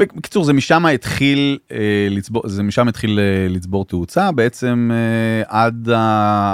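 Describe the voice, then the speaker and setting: A man talks at a fairly slow pace with ordinary pitch variation. The sound is dry and close with no echo, and the recording is very clean with a silent background. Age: 50s. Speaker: businessman turned social media star. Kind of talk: casual chat. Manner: halting.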